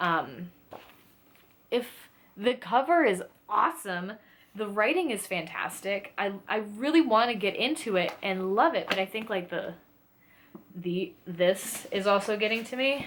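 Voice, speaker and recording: With an animated tone and lively intonation, a woman speaks at medium pitch. Her pace is fairly slow, broken by long, frequent pauses. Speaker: book and lifestyle YouTuber. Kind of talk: casual book recommendations to camera. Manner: animated, with many fillers and restarts.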